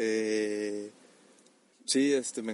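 The man's intonation is fairly even. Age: 20s. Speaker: anime reviewer. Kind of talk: casual monologue.

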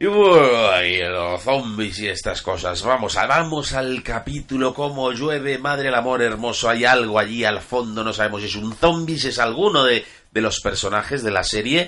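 The man speaks at a medium pitch with lively intonation and hardly any pauses. His tone is bright and sharp. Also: moderate pace. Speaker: podcast host. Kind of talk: casual chat. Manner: halting, repeats words.

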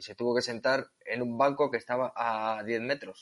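With an unremarkable speaking voice, a man talks at a fairly slow pace and a medium pitch. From Basque Country, Spain (near Bilbao). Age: 30s. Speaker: van traveller, wheelchair user. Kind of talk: casual interview.

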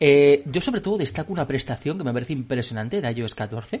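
The delivery moves at a fairly quick pace. The voice is somewhat breathy. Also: man. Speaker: podcast host. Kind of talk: casual chat. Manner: animated.

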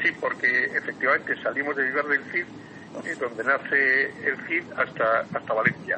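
A man's moderate-paced speech comes with noticeable background noise behind it. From Basque Country (San Sebastián). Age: 70s. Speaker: cyclist. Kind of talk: casual interview.

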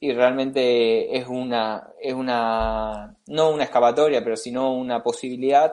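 The man's voice sits at a medium pitch, and his intonation varies only a little. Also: hardly any pauses, quiet background. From Spain (Tarragona, Catalonia), moved to Argentina at 15. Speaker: accountant and investor. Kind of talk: casual interview. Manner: halting, many fillers.

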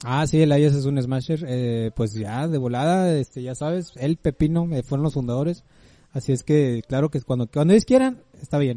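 With a dry, close sound and no echo, a man of fairly high pitch speaks at a moderate pace in a dark, mellow tone with ordinary pitch variation. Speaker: podcast co-host. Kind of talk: casual chat.

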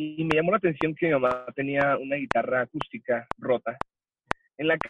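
The recording is dry and close, with no echo. A man speaks at a fairly high pitch. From El Paso, Texas (US–Mexico border). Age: 20s. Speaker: church worship musician. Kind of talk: casual interview chat.

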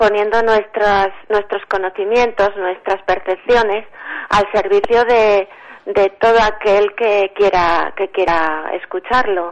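Medium-pitched woman at a very slow pace, with monotone, flat intonation. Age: 60s. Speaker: writer. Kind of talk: radio interview.

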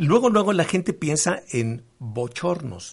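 Very slowly, a man speaks in a somewhat breathy voice. His pitch swings very widely. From Mexico, Veracruz. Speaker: sex therapist and educator. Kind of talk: radio interview.

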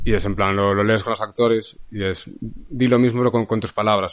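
With an ordinary speaking voice, a man talks at a moderate pace and keeps his intonation fairly even. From Galicia, Spain (Lugo). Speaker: film director. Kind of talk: casual chat.

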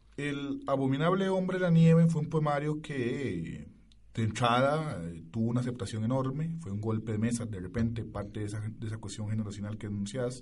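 Audible room echo surrounds a man speaking at medium pitch. He is somewhat breathy and moves at a fairly quick pace. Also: lively intonation. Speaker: radio host. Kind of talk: radio interview.

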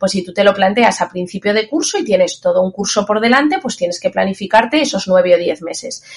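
Quick-paced and with lively intonation, a woman talks in a normal speaking voice. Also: medium pitch for a woman, hardly any pauses. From Zaragoza, Spain. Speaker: English teacher and exam coach. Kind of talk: interview.

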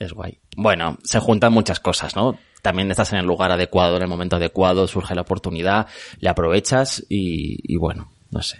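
Ordinary pitch variation in a man's very deep, low voice, moving at a moderate pace. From Madrid, Spain. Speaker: art podcaster and museum worker. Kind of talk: casual interview chat.

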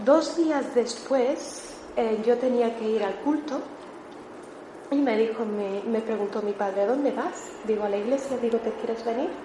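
Heard at a fairly slow pace with ordinary pitch variation, the voice carries audible room echo and noticeable background noise. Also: woman, fairly high pitch for a woman. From Melilla, Spain. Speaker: church member giving testimony. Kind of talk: testimony.

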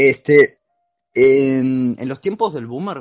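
Against a quiet background, a man with an Argentine accent speaks with ordinary pitch variation. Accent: marked Argentine. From Argentina. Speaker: podcast guest presenting a philosophy topic. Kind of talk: casual chat. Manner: halting.

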